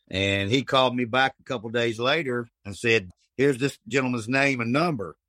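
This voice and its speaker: A man with an American accent and a bright, sharp tone speaks at a moderate pace with ordinary pitch variation, the sound dry and close with no echo. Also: medium pitch for a man. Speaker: cottage food business owner. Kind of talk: casual interview.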